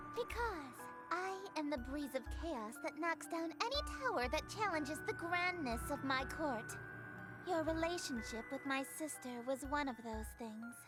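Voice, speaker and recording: Over clear music in the background, a female-sounding voice puts on a character voice with a high pitch and a dramatic tone. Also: moderate pace. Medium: video game. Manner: dramatic, flirtatious, stagey.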